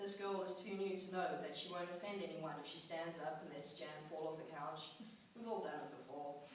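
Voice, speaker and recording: Noticeable background noise under a moderate pace and fairly even intonation. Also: woman. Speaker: student writer. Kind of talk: personal essay reading at a poetry slam. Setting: live event.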